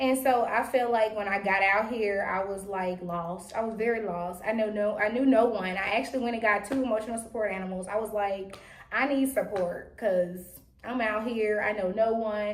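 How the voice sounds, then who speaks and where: A woman talks at a moderate pace with a fairly high pitch and fairly even intonation. Room echo and background noise are both audible. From Louisiana, small town. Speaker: podcast co-host. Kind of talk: casual chat. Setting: podcast recorded on camera.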